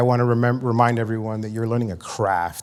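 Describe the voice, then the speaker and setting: This is a man with a medium-pitched voice. He has a slight New York accent. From New York City, South Bronx. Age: 40s. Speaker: addiction and mental health counselor, conference presenter. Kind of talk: conference presentation. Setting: stage with audience. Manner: casual, many fillers.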